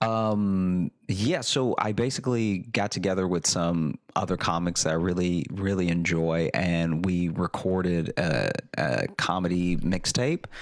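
With hardly any pauses and very even loudness, a man talks at a fairly slow pace in a very deep, low pitch with ordinary pitch variation. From Louisiana. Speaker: comedian. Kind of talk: casual chat. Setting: video call.

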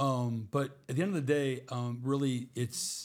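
A man talks at medium pitch, somewhat breathy. His intonation stays fairly even. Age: 60s. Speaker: weight-loss client sharing his health journey. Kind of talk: casual interview testimony. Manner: halting, with frequent restarts.

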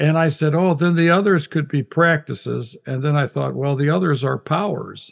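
In an unremarkable speaking voice, a man talks at a moderate pace with hardly any pauses. His pitch is fairly high, and his intonation is fairly even. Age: 60s. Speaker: Bible scholar and author. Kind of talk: casual interview conversation.

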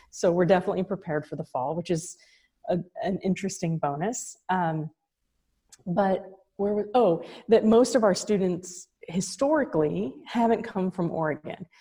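This woman has a medium pitch and a dark, mellow tone that is somewhat breathy. She keeps a moderate pace with ordinary pitch variation. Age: 40s. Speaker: college founder and president. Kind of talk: casual interview chat.

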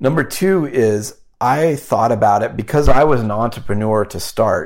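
A plain, everyday voice with an American accent moves at a moderate pace with lively intonation, on a very clean recording with a silent background. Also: man. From Wyoming and Omaha, Nebraska. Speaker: investment firm founder. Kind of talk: interview.

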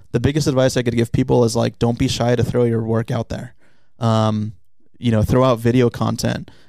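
An American accent marks this man's dark, mellow tone. He talks at a fairly quick pace in a monotone, flat intonation. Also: medium pitch for a man. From US West Coast, San Diego. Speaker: sports video producer. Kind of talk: casual chat.

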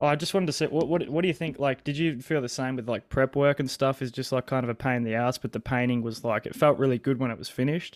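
Speaking very fast with hardly any pauses, a man with an Australian accent keeps a medium pitch and fairly even intonation in a dry, close sound with no echo. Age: 20s. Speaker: guest sharing personal phobia story. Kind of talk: casual chat. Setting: video call.

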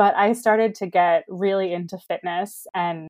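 A woman speaks at medium pitch with an American accent and ordinary pitch variation. Hers is a plain, everyday voice. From US Mid-Atlantic, Baltimore. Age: 30s. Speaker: dietitian nutritionist and adoptee. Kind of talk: interview.

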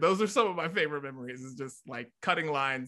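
In an American accent, a man speaks with a bright, sharp tone against a quiet background. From West Virginia, Brooke County (Wellsburg). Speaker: radio and TV personality. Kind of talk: casual interview chat. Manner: animated.

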